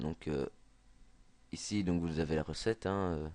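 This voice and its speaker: Against a quiet background, a man with a Belgian accent speaks at a fairly slow pace. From Belgium. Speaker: video game youtuber. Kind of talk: gameplay tutorial. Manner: halting, many fillers and repetitions.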